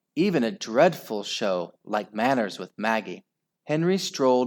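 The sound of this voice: In quiet surroundings, the speaker uses an unforced reading voice.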